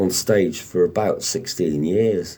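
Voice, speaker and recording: A man talking at a very slow pace over noticeable background noise. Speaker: radio presenter and actor. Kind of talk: interview answer.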